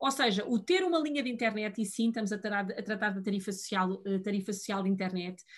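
Somewhat breathy, a woman talks at a moderate pace with very wide pitch swings against a quiet background. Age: 40s. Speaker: digital policy official. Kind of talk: interview.

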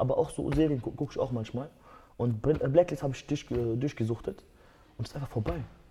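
Using vocal fry, a man talks at a fairly quick pace and medium pitch with ordinary pitch variation. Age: 20s. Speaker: MMA fighter. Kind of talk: casual chat.

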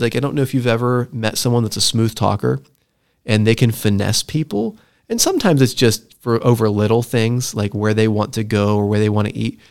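An ordinary speaking voice from a man, medium-pitched, at a moderate pace, on a very clean recording with a silent background. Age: 40s. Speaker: podcast host. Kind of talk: casual chat.

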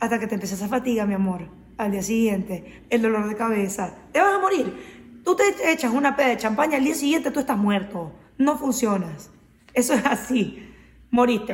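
Over noticeable background noise, a woman speaks at a moderate pace with lively intonation and a fairly high pitch. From Venezuela, Maracaibo. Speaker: podcast co-host. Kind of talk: casual chat.

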